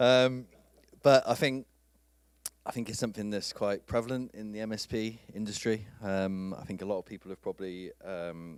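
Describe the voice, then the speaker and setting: With a British accent, a man speaks at a moderate pace and fairly low pitch, his pitch varying in an ordinary way while his loudness swings widely. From UK. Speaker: IT industry speaker. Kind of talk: conference talk. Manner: halting.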